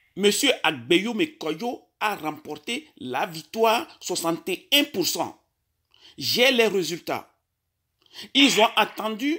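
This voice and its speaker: Against a quiet background, a man raises and projects his high, bright, sharp voice at a very slow pace, with very wide pitch swings. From Togo. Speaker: caller. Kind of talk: phone call. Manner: halting.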